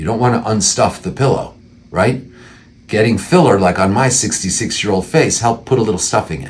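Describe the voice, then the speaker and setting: A man's fairly low-pitched voice with vocal fry, at a moderate pace. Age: 60s. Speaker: plastic surgeon. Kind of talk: informational talk to camera. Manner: conversational, with frequent fillers and restarts.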